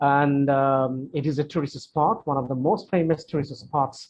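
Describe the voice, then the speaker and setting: Talking at a fairly quick pace, a man uses a fairly high, somewhat breathy voice. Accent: Bengali. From Bangladesh. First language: Bangla. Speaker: English teacher. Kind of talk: Q&A session. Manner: hesitant, many fillers and repetitions.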